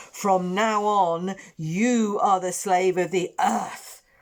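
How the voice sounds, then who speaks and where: Using a put-on character voice, a female-sounding speaker talks very slowly at a middle pitch. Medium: read story.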